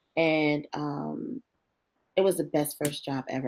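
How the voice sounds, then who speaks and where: A woman's very deep, low voice with an animated tone and ordinary pitch variation. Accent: New Jersey. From northern New Jersey, East Orange. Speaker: marketing executive. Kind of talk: career interview. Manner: lively, animated.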